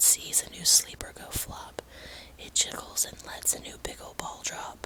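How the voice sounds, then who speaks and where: A woman whispers at a moderate tempo with noticeable noise behind her. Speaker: ASMR whisper channel host. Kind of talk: bedtime story reading. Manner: whispered, soft-spoken.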